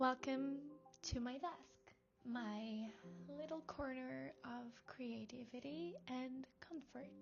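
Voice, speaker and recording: Music plays in the background as a woman speaks at a fairly high pitch. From Portugal. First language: Portuguese. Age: 20s. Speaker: vlogger. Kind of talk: casual vlog talk to camera. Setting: at home, in her room. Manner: halting non-native speech.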